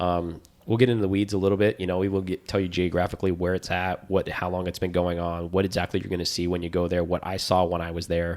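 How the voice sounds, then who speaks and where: Very deep and low, a man's voice carries an American accent. He speaks very fast in a monotone, flat intonation. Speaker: podcast co-host. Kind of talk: casual chat. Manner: casual, with frequent filler words.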